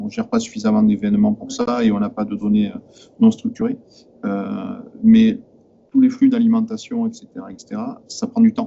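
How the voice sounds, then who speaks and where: Monotone, flat delivery with long, frequent pauses and big swings in loudness, over noticeable background noise. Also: man, extremely high pitch for a man. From southern France. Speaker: IT manager at a company, audience member. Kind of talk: technical discussion in Q&A. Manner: fast; halting, many hesitations.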